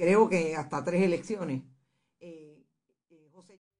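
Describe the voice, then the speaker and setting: Ordinary pitch variation from a woman with a fairly low voice. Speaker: radio journalist and host. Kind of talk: radio interview. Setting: studio. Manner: halting, many fillers.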